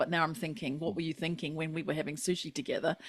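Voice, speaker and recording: A woman speaks in a fairly low pitch. The recording is very clean, with a silent background. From New Zealand. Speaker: podcast host. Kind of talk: podcast interview.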